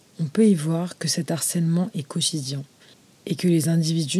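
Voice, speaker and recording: Somewhat breathy, a woman speaks at a moderate pace in a dark, mellow tone with a fairly low pitch and ordinary pitch variation. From France, Moroccan heritage. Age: 20s. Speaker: podcast host. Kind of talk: scripted narration.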